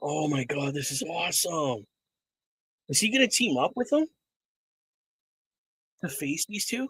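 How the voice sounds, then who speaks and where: A loud, raspy put-on character voice moves at a moderate pace, broken by long, frequent pauses. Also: man, fairly high pitch for a man. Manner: excited, loud.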